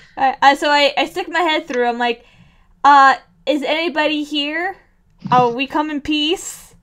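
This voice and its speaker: A loud woman with a high pitch speaks at a fairly slow pace, leaving long, frequent pauses and keeping her intonation fairly even. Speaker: tabletop game player. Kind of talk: casual chat.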